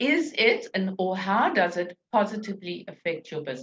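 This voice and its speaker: A woman's somewhat breathy, medium-pitched voice at a fairly slow pace, with lively intonation. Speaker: business coach. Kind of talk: webinar presentation. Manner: step-by-step instructive.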